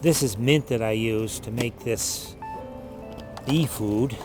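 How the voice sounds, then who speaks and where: At a fairly slow pace, a man talks with ordinary pitch variation. He has an unremarkable speaking voice. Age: 60s. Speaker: beekeeper. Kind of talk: documentary interview.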